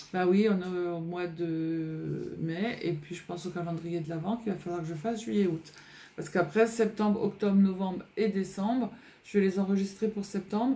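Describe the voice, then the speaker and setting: The woman's tone is dark and mellow, and somewhat breathy. Her pitch varies in an ordinary way. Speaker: scrapbooking youtuber. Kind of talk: casual vlog chat. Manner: hesitant, many fillers.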